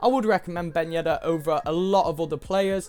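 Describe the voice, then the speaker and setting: A man talking at a very fast pace with music in the background. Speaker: gaming YouTuber. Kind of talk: game review commentary. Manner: casual with filler words.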